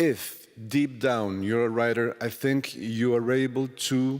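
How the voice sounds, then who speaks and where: A man speaks at a medium pitch with a Spanish accent. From Colombia. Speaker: novelist. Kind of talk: literary festival interview. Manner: halting.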